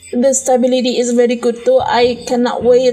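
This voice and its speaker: Noticeable background noise sits behind this recording. A woman with a high pitch talks at a moderate pace. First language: Indonesian. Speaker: podcast host. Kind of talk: casual solo monologue. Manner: halting, self-correcting.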